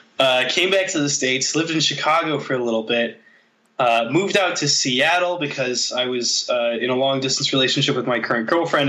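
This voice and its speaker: A man's plain, everyday voice at a medium pitch, fairly quick, with ordinary pitch variation. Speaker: guest. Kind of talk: casual interview chat.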